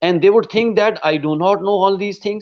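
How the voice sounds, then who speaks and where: The man speaks with ordinary pitch variation. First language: not English. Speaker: English teacher and interviewer. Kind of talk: interview.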